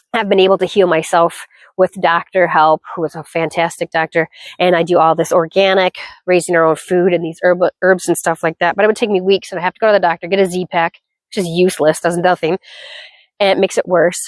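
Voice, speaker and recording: A woman's monotone, flat-toned voice at a very fast pace. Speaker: homesteader and gardening vlogger. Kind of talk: casual garden tour. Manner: halting, with fillers.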